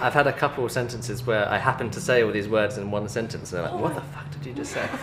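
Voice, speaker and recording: Amid noticeable background noise, a man at a medium pitch talks at a very fast pace with ordinary pitch variation. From England. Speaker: film student. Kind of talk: interview answer.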